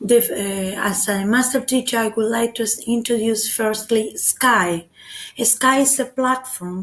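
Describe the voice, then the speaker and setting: A woman with a Spanish accent speaks fairly slowly in a fairly high, somewhat breathy voice. Her intonation stays fairly even. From Argentina. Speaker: teacher. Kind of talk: web seminar presentation. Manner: halting.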